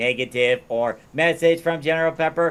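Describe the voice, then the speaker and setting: A man puts on a robotic character voice, speaking at a moderate pace with a fairly high pitch. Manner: steady, robotic, mechanical.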